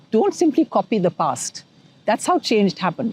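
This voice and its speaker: A woman speaks in a dark, mellow tone that is somewhat breathy. Her moderate-paced voice sounds dry and close, with no echo. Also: very clean recording, silent background. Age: 60s. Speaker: feminist scholar. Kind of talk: interview.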